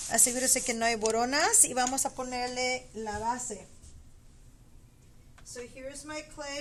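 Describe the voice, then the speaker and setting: Over noticeable background noise, a woman speaks at a high pitch with fairly even intonation and big swings in loudness. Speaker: pottery teacher. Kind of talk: tutorial. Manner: casual, bilingual English with Spanish asides.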